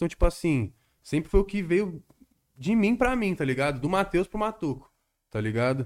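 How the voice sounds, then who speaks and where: A man talks fairly quickly, his pitch swinging very widely, on a very clean recording with a silent background. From Guarulhos, São Paulo state, Brazil. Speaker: independent rap artist. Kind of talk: casual chat.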